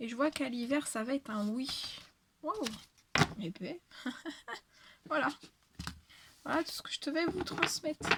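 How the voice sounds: A woman's hoarse, put-on character voice, high in pitch, with lively intonation at a moderate pace.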